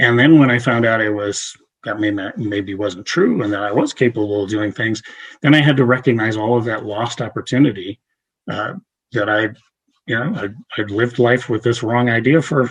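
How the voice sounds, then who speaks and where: Somewhat breathy and medium in pitch, a man talks over a quiet background. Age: 60s. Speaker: therapist and chaplain presenter. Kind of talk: lecture. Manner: halting, many fillers.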